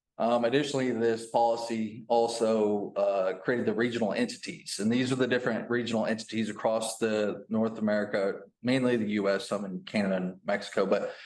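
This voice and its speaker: A man's medium-pitched voice at a fairly quick pace, with fairly even intonation and hardly any pauses. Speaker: utility compliance manager. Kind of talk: presentation. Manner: fast.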